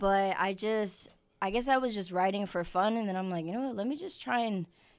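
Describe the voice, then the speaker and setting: In a New York accent, a woman talks with ordinary pitch variation. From New York (Queens, Long Island). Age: 20s. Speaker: singer and social media creator. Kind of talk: casual interview. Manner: laughs often.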